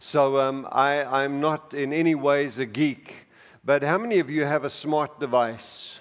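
Speaking at a fairly slow pace, a man with a plain, everyday voice and fairly high pitch keeps his intonation fairly even. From outside the US, moved to America in his 40s. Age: 60s. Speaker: preacher. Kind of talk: sermon. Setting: church with congregation.

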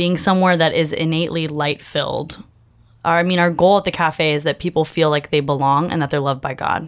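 A woman speaks with an American accent. Her pace is moderate and her intonation fairly even. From Bay Area, California. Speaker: coffee shop ministry manager. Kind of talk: casual chat; testimony.

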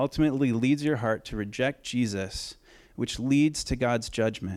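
With a Pacific Northwest accent, a man speaks at a medium pitch with ordinary variation on a very clean recording with a silent background. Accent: Pacific Northwest American. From Oregon. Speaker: pastor. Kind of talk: sermon.

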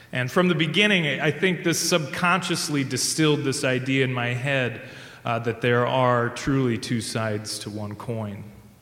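A man with a Midwestern American accent talks at a moderate pace with lively intonation. Room echo is audible, and there is noticeable background noise. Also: medium pitch for a man. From US Midwest, rural Indiana. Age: 30s. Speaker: church music staff, singer. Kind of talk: live storytelling.

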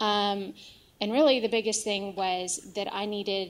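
A woman with an American accent and a plain, everyday voice speaks at a fairly slow pace and a medium pitch, in a very clean recording with a silent background. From Texas, Dallas area. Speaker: churchgoer. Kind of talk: testimony. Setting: church.

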